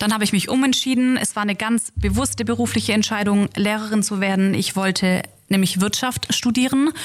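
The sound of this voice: A woman talks at a moderate pace. Her pitch is medium, with ordinary variation.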